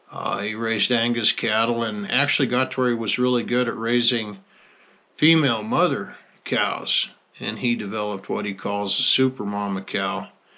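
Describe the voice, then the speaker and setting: A man speaks at a medium pitch in a relaxed tone. His tone is bright and sharp. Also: fairly even intonation, moderate pace. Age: 60s. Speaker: rancher. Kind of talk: casual monologue. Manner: relaxed, folksy with hesitations.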